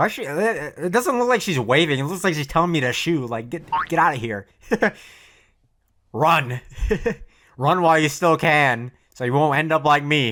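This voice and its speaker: Speaking at a moderate pace with long, frequent pauses, a man uses a fairly high pitch and a bright, sharp tone. His intonation is lively, and the recording is very clean with a silent background. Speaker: anime reaction youtuber. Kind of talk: reaction commentary. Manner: stammering, repeats words.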